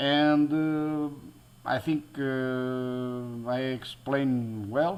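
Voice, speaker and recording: With a Portuguese accent, a man speaks at a medium pitch with ordinary pitch variation. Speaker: DIY electronics YouTuber. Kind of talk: tutorial. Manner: halting, many fillers and restarts.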